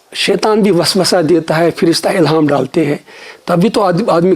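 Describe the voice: At a moderate pace, a man speaks in a slightly mellow tone.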